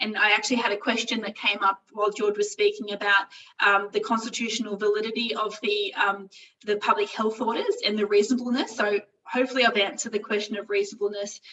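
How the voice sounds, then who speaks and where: Very fast, monotone speech with flat intonation in an Australian accent. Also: woman, fairly high pitch for a woman. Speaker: employment lawyer. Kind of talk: webinar presentation. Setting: online webinar.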